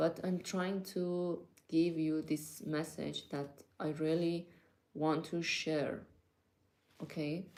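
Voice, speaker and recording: A woman with a non-native accent at a fairly low pitch, very slow pace, long, frequent pauses and monotone, flat intonation. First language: not English. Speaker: vlogger. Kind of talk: casual monologue to viewers. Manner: hesitant, many fillers.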